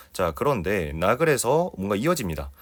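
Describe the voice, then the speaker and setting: A man with a fairly low pitch and very wide pitch swings in a very clean recording with a silent background. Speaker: Korean language exam tutor. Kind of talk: lecture. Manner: fast.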